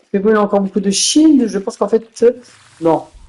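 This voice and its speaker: The woman's voice sits at a medium pitch, with ordinary pitch variation. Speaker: gaming commentator. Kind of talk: live commentary. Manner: animated.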